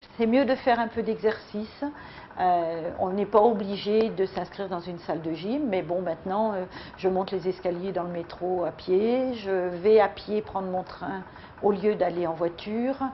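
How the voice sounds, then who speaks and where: At a fairly slow pace, a woman speaks at medium pitch with ordinary variation. Background noise is noticeable. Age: 60s. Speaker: weight-loss program member. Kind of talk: testimony. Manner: halting.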